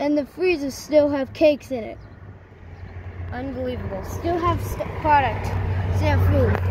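Speaking at a fairly slow pace, a woman is heard in a dry sound with no echo, over noticeable background noise. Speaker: vlogger exploring. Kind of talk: casual vlog chat. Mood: amazed, excited. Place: street. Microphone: phone near.

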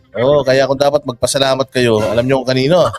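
A man's medium-pitched voice at a very fast pace, over noticeable background noise. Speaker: online commentator. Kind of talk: reaction commentary. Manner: sarcastic.

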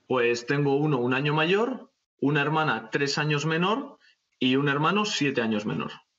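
Against a quiet background, a man speaks at a fairly high pitch with lively intonation. His pace is moderate and his loudness very even. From Spain. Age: young. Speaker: bushcraft YouTuber. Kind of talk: casual chat. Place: home room. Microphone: video call.

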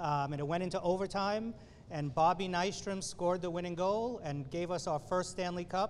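Against light background noise, a man with a high pitch talks at a moderate pace using fairly even intonation. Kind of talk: press conference speech. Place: hall. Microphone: podium.

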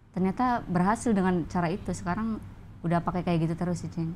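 In a Banyumasan accent, a woman at a medium pitch talks at a fairly quick pace with fairly even intonation over light background noise. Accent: Javanese ngapak dialect. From Banjarnegara, Central Java, Indonesia; Central Java, Indonesia. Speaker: stand-up comedian. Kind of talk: casual interview; interview answer. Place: studio. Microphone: lapel.

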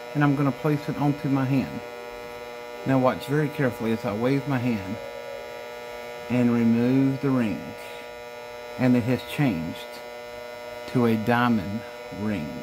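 Over noticeable background noise, a man speaks at a moderate pace with ordinary pitch variation. He leaves long, frequent pauses. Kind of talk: magic trick patter. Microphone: phone near.

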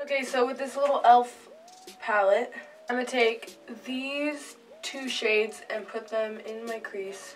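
With faint music in the background, a woman with a high voice and ordinary pitch variation talks at a fairly slow pace. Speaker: makeup vlogger. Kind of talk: tutorial.

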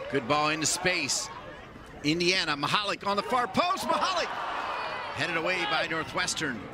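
Loud background noise, a moderate pace, long, frequent pauses and a dry sound with no echo. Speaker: play-by-play commentator. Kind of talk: live play-by-play commentary.

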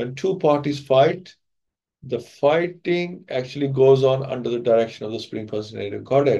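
Dark and mellow in tone, a man speaks at a moderate pace. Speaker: speaker. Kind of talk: lecture. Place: home room. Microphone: video call.

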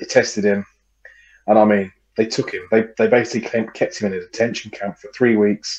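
A man talks at a fairly quick pace in a monotone, flat delivery. His loudness swings widely against a quiet background. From England. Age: 30s. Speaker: podcast co-host. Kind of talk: casual chat. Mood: joking, laddish, relaxed. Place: home room. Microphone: headset.

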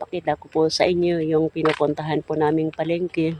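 Over noticeable background noise, a man speaks at a moderate pace. His pitch is fairly high and his intonation is monotone and flat. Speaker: vlogger. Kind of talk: casual vlog talk to camera. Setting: outdoors by the roadside. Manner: hesitant, many fillers.

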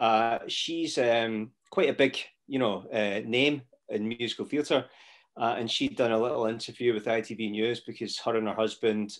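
Over a quiet background, a man speaks at a fairly slow pace with fairly even intonation. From Scotland. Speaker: actor. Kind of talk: casual interview chat. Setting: video call. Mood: reflective, candid. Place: home room. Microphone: video call.

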